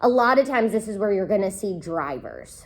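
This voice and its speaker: A woman with an unremarkable speaking voice at a medium pitch and a moderate pace, with ordinary pitch variation. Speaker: college instructor. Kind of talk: lecture. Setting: recorded class session.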